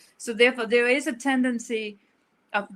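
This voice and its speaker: A woman with a Danish accent and a bright, sharp tone, on a very clean recording with a silent background. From rural Denmark. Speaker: author. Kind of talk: interview. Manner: halting.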